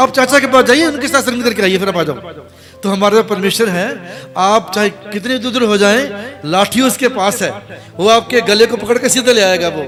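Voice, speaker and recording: A high-pitched man talks at a moderate pace, his pitch varying in an ordinary way, with noticeable background noise behind him. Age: 60s. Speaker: visiting pastor. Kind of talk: sermon. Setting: church.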